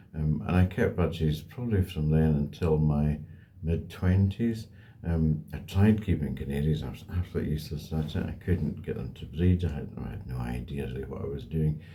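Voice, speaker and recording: This man has an Edinburgh accent and a very deep, low pitch. He speaks at a fairly quick pace with lively intonation over noticeable background noise. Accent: Scottish (Edinburgh). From Scotland, Edinburgh. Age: 60s. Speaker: bird breeder. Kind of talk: interview answers. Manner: hesitant, many ums.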